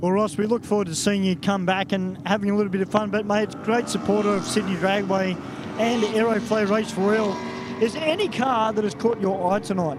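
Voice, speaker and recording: A man's high-pitched voice, fairly quick, with ordinary pitch variation and noticeable background noise. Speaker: drag racing track announcer. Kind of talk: trackside interview.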